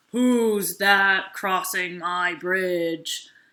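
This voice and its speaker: A growling, put-on character voice at middle pitch comes through a very clean recording with a silent background. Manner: scowly.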